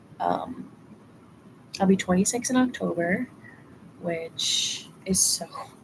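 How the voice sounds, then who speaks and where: Over noticeable background noise, a woman speaks at a very slow pace, with long, frequent pauses. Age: 20s. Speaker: vlogger. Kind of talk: casual chat. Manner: casual, halting.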